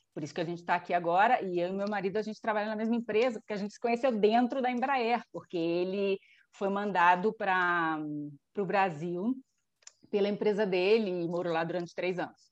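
Against a quiet background, a woman with an unremarkable speaking voice talks at a fairly quick pace. Her pitch is medium, with ordinary variation. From Brazil, Rio de Janeiro. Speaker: engineer, immigrant in Spain. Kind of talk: casual chat.

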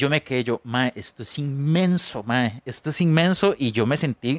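A man's lively intonation at a fairly slow pace, in a dry, close sound with no echo. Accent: Costa Rican. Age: 30s. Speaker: podcast co-host, musician. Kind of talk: casual chat.

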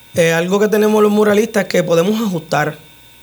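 With noticeable background noise behind him, a man talks fairly quickly at a high pitch with fairly even intonation. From Puerto Rico, Utuado. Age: 30s. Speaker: muralist and tattoo artist. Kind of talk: radio interview. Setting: radio studio.

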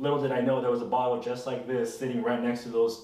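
A man speaks with an American accent. Audible room echo and noticeable background noise are present. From California Central Coast. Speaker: tequila enthusiast. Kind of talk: casual chat.

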